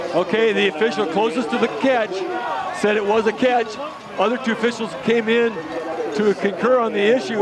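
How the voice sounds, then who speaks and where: Crowd noise sits behind a man speaking at a high pitch with fairly even intonation. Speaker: color commentator. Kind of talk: live commentary.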